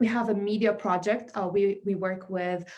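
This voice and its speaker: A woman speaks in a dark, mellow tone at a medium pitch. Her intonation stays fairly even. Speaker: community arts organization representative. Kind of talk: event speech. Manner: fast; halting with many fillers.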